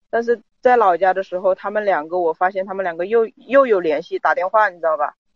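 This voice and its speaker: The speech comes very fast, with hardly any pauses. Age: 20s. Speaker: caller seeking relationship advice. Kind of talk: personal account to advice host.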